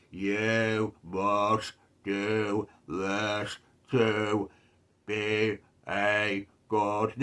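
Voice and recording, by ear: A man's put-on character voice, fairly low and monotone, flat, at a very slow pace with long, frequent pauses.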